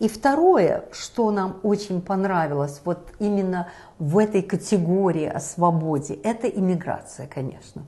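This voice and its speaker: The delivery is fairly slow, with ordinary pitch variation. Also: woman, medium pitch for a woman. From Belarus. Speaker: talk show host. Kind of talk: discussion show.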